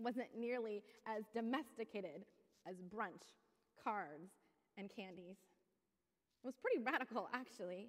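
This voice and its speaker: A woman talks at a moderate pace with ordinary pitch variation and long, frequent pauses over a quiet background. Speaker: pastor. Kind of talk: sermon. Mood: earnest, passionate. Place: church. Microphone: headset.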